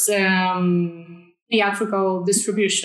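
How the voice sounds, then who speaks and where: A woman with a Polish accent speaks at a medium pitch with fairly even intonation. There is audible room echo and noticeable background noise. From Poland. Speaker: film sales agent. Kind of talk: panel discussion. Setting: video call.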